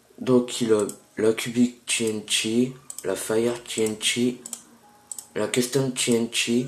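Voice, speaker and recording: Speaking very slowly with long, frequent pauses, a man keeps a medium pitch and a monotone, flat intonation. Background noise is noticeable. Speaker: gaming youtuber. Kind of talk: gameplay tutorial. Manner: hesitant, many fillers.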